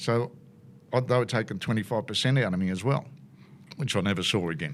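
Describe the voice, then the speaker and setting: A man with an Australian accent talks very fast in a fairly low pitch with lively intonation. The recording is very clean with a silent background. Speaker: motorsport commentator. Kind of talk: casual chat. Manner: animated.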